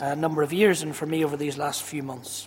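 The speaker has a Northern Irish accent, with noticeable background noise behind them. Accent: Ballymena (Northern Irish). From Northern Ireland, Ballymena. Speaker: pastor. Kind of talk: church service interview. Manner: loud, carrying.

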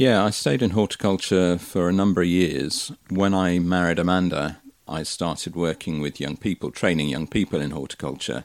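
With a very deep, low pitch, a man speaks at a moderate pace and ordinary pitch variation. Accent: West Country. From Somerset, England. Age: 60s. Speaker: interviewee, community volunteer. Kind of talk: casual interview.

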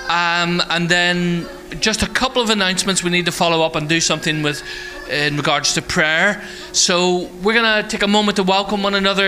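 Noticeable background noise sits behind a man's high-pitched voice. He speaks at a fairly quick pace with fairly even intonation. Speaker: church host. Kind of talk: casual announcements. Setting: church.

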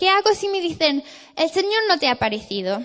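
An English accent with very wide swings in pitch. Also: woman. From England. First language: English (speaking Spanish). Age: 20s. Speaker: theology student, guest preacher. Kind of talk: sermon. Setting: church.

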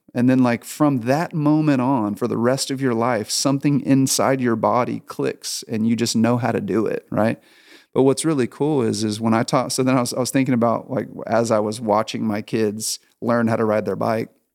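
On a very clean recording with a silent background, a man with a plain, everyday voice at a medium pitch speaks at a moderate pace with fairly even intonation and hardly any pauses. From Texas, Houston. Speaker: pastor. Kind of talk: casual interview chat.

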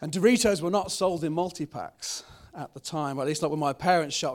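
A man's high voice with ordinary pitch variation. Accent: British. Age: 30s. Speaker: pastor. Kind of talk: sermon. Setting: church. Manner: halting, many fillers.

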